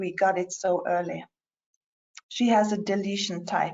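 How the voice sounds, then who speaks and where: A woman with a Norwegian accent and a medium pitch. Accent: non-native English, Norwegian. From Norway. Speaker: patient representative and parent. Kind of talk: conference presentation. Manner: halting, many fillers.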